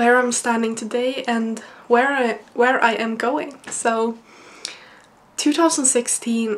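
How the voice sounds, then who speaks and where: In a Swedish accent, a woman speaks at a fairly slow pace with a fairly high pitch. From Sweden. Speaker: university student and vlogger. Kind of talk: personal vlog monologue. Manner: halting.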